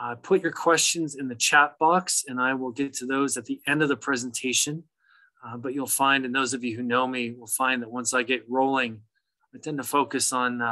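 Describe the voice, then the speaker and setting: The man's tone is bright and sharp, with fairly even intonation. He keeps a moderate pace against a quiet background. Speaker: presenter. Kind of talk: lecture. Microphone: video call.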